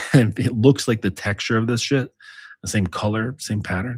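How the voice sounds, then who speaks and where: A man with a fairly low, somewhat breathy voice and ordinary pitch variation, recorded very cleanly against a silent background. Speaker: dominance coach and author. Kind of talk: casual monologue. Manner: casual, filler-heavy.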